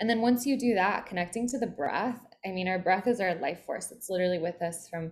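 A woman with a normal speaking voice and an American accent, medium in pitch with ordinary pitch variation, at a fairly quick pace. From Philadelphia, US East Coast. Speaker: spiritual mentor. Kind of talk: interview.

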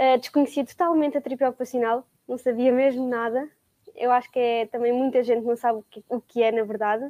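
Speaking fairly quickly, a woman uses a high pitch and fairly even intonation. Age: young. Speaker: occupational therapy student. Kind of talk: casual chat.

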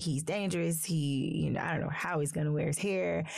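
A woman with a Southern US accent. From US South, small-town South Carolina. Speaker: podcast host, social worker. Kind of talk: interview conversation. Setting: studio.

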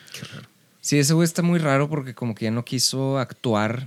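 A man speaks in an unremarkable speaking voice. His pace is fairly quick and his pitch variation ordinary. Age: 30s. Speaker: rock musician. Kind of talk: casual chat.

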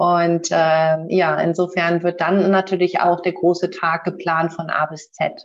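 Speaking at a very slow pace with hardly any pauses, a woman keeps a fairly low pitch and a monotone, flat intonation. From northern Germany (born in Bremen). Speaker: wedding officiant. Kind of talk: casual chat. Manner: calm, relaxed.

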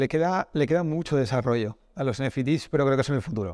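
With a Castilian accent, a man talks very fast at a fairly high pitch with ordinary pitch variation, on a very clean recording with a silent background. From Spain, Castile. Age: 40s. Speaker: esports business executive. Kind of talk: casual interview. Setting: office, in person.

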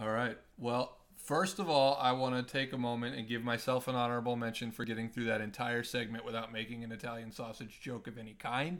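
A man with an American accent and an unremarkable speaking voice, his pitch medium. He talks at a fairly quick pace with fairly even intonation. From Nebraska. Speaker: podcast co-host. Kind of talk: casual chat.

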